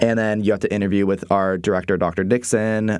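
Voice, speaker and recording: A man speaks at a fairly low pitch in an American accent, in a very clean recording with a silent background. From US West Coast, San Diego, California. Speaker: college student. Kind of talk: interview.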